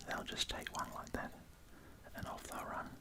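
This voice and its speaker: Someone whispers with an Australian accent. Noticeable background noise runs underneath. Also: man. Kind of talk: ASMR whispered food video. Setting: home recording with studio microphone. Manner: whispered, soft.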